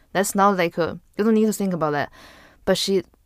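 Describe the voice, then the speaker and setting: A woman with a Chinese accent speaks with fairly even intonation on a very clean recording with a silent background. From northern China. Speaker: podcast guest. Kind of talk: casual chat. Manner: halting.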